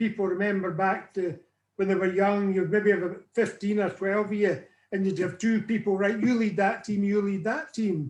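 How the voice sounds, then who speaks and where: With a Northern Irish accent, a man speaks at a high pitch and fairly even intonation. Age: 70s. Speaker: weight loss client sharing his story. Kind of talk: interview testimony.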